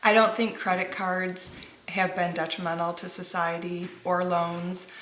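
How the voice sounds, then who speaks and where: Spoken at a moderate pace, the clip has noticeable background noise and audible room echo. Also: woman. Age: 40s. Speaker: parent. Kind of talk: interview.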